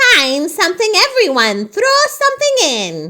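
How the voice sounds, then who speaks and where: A squeaky, put-on character voice at an extremely high pitch. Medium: read story.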